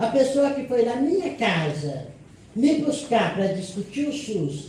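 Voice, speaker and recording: A woman speaks at a fairly slow pace with lively intonation. Noticeable background noise and audible room echo fill the recording. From Brazil, Campinas (São Paulo state). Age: 70s. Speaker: union leader and nursing worker. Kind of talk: panel talk at a seminar. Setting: seminar panel, seated, with audience.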